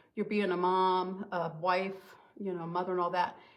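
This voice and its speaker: The speaker has a plain, everyday voice and talks at a moderate pace. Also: woman. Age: 60s. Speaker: beauty consultant. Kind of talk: makeup tutorial. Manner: casual, chatty.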